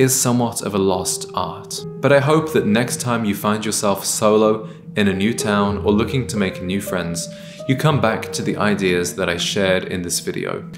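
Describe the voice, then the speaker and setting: Over clear background music, a man speaks at a moderate pace with a fairly low pitch. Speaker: style content creator. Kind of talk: advice talk to camera. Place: kitchen.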